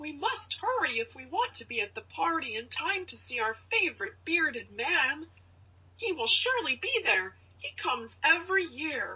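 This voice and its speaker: A woman puts on a squeaky character voice at an extremely high pitch, swinging very widely up and down at a moderate pace. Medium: video game. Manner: friendly, helpful.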